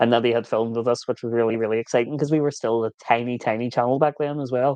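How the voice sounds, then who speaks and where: A man with an Irish accent speaks in a monotone, flat intonation. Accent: Irish, viewers call it kinder than Scottish. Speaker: vanlife vlogger. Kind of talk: livestream Q&A chat. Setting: live stream.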